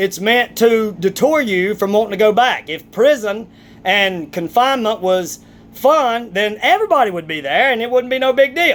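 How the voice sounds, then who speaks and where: Speaking with a strong Southern US accent, a man uses lively intonation at a moderate pace. His pitch is high for a man, and the recording is very clean with a silent background. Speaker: vlogger, athlete. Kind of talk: opinion rant vlog. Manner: animated, emphatic.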